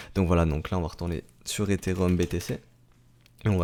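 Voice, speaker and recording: The recording is very clean, with a silent background. A man speaks with a very deep, low pitch, a dark, mellow tone and fairly even intonation. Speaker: crypto market analyst. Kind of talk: technical analysis commentary. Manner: hesitant, many fillers.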